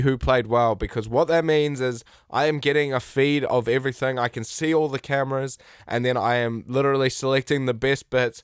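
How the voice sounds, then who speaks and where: A man talks at a medium pitch. The background is silent and the recording very clean. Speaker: sports podcast host and TV replay operator. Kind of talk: casual sports podcast monologue. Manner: slow; hesitant, many fillers.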